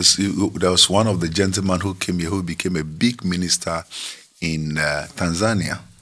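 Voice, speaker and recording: A man's very deep, low voice with a bright, sharp tone, fairly even intonation and a moderate pace. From Ghana. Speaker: pastor. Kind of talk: interview.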